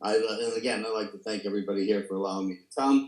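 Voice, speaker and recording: A man is speaking. He has a New York accent. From New York City, the Bronx. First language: Italian. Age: 80s+. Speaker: recovery speaker. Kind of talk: testimony. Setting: video call.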